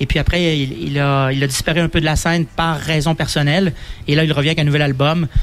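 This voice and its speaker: A man's fairly high voice at a fairly quick pace, monotone and flat in intonation, with very even loudness. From Quebec, Donnacona near Quebec City. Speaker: festival organizer. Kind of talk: radio interview. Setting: outdoor live radio broadcast.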